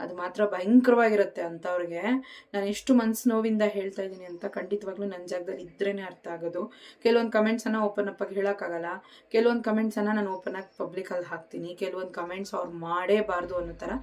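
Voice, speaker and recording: The woman's voice sits at a medium pitch. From Karnataka. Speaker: vlogger. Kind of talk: talking-to-camera vlog. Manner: emotional, animated.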